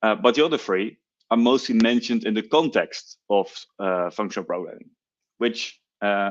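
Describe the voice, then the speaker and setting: A man speaks with a Dutch accent against a quiet background. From Netherlands. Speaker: software engineer, conference speaker. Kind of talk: technical talk.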